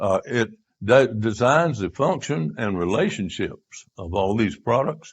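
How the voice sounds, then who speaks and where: A somewhat breathy man with very wide pitch swings. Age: 90s. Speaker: retreat speaker. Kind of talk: lecture. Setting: church retreat audience. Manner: halting.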